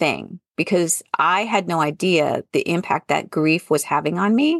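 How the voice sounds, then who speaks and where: A woman speaks at a fairly slow pace with lively intonation in an unremarkable speaking voice. The sound is dry and close, with no echo. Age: 50s. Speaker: podcast host and former college professor turned entrepreneur. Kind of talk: casual interview conversation.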